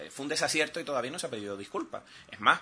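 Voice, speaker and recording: A man is speaking. His tone is bright and sharp. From Canary Islands, Telde (Gran Canaria). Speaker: island councillor, opposition politician. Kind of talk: political talk radio interview.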